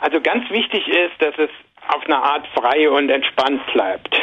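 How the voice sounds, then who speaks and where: Against noticeable background noise, a man speaks at a moderate pace with a fairly high pitch. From Saarland, Germany. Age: 50s. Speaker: journalist and author. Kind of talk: interview.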